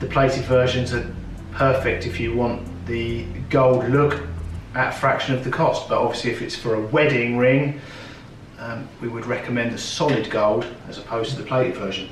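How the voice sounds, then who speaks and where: A moderate pace, with noticeable background noise and audible room echo. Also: man. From South London, England. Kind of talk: tutorial. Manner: casual, with filler ums.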